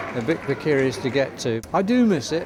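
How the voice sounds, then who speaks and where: A man speaking over noticeable background noise. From Norfolk. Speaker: radio presenter and football commentator. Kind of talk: interview answer. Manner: casual, chatty.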